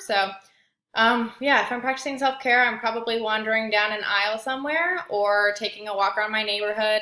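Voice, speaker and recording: A woman with a Midwestern accent and ordinary pitch variation, on a very clean recording with a silent background. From Indiana, US Midwest. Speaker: graduate student. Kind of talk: self-introduction video. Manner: hesitant, many fillers.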